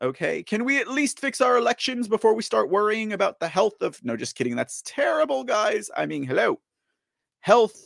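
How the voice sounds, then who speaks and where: Dry and close, the sound has no echo. A man is speaking at a moderate speed. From Texas. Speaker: political talk show host. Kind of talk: live political commentary show. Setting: home studio, live stream. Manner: animated; many filler words.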